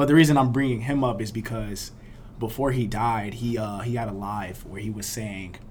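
A somewhat breathy man's voice at medium pitch, with an American accent and audible room echo. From Miami, Florida. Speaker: party promoter and university student. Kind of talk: casual interview chat.

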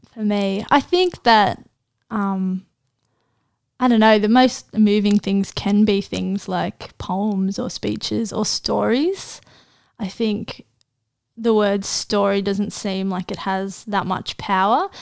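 The pace is very slow, with fairly even intonation. The recording is very clean, with a silent background. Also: woman, medium pitch for a woman. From Australia, Central Coast NSW. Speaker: university student and poet. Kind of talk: casual interview.

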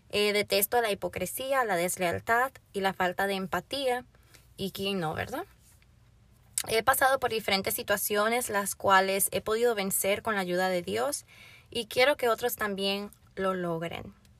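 A woman talks in a normal speaking voice at a medium pitch with ordinary pitch variation and a fairly slow pace. The recording is very clean with a silent background, and the sound is dry and close with no echo. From Florida, Dominican family. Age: young. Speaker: podcast host and youth pastor. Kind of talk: personal introduction monologue.

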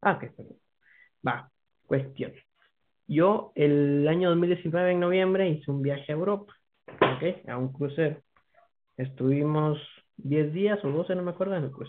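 With a Guatemalan accent, a man speaks at a fairly slow pace with long, frequent pauses. His pitch is fairly high, with ordinary variation. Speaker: podcast guest. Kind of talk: casual chat.

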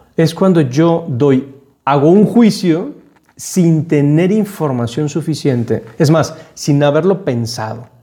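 His tone is dark and mellow, with a fairly high pitch for a man. The man's pitch variation is ordinary. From Panama. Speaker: podcast host. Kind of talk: reflective monologue.

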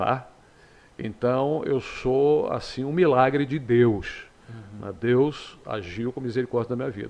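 Using an ordinary speaking voice, a man talks at a fairly slow pace and medium pitch, with ordinary pitch variation and big swings in loudness. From Rio de Janeiro state, Teresópolis. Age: 60s. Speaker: radio host. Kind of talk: interview.

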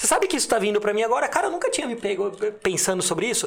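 A man speaks over noticeable background noise. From Limeira, São Paulo state, Brazil. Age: 30s. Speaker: entrepreneur. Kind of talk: casual interview chat.

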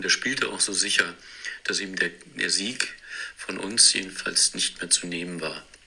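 A man talks fairly slowly with noticeable background noise behind him. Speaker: disc golf player. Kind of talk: scripted narration. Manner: narrative storytelling.

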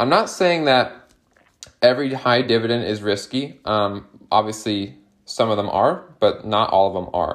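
A man speaks in a medium pitch, his intonation lively. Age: 20s. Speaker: investing content creator. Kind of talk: casual tutorial monologue. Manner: animated.

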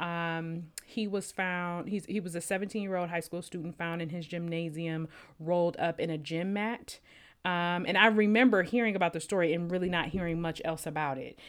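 In a very clean recording with a silent background, a woman with a plain, everyday voice speaks at a moderate pace, her pitch fairly low and her intonation fairly even. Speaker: podcast co-host. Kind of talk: casual podcast discussion.

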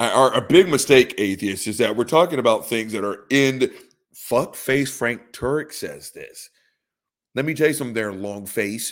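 A man speaks in an unremarkable speaking voice at medium pitch and a moderate pace, with ordinary pitch variation. His loudness swings a lot, on a very clean recording with a silent background. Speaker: podcast host. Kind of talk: casual profane comedic ranting. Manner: sarcastic, mocking.

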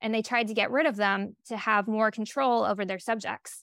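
A woman's normal speaking voice, fairly high in pitch, with fairly even intonation and a fairly quick pace, in a very clean recording with a silent background and a dry, close sound with no echo. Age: 30s. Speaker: author and gender diversity educator. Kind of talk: interview.

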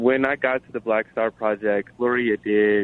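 A man talks in a normal speaking voice at a medium pitch. His pace is moderate and his pitch variation ordinary. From Chicago. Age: 20s. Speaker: nonprofit accountant. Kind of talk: interview.

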